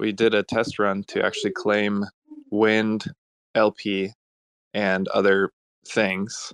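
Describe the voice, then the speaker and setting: A man's fairly low voice, very slow and monotone with flat intonation. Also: dry, close sound with no echo. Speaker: blockchain automation developer. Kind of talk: casual panel discussion.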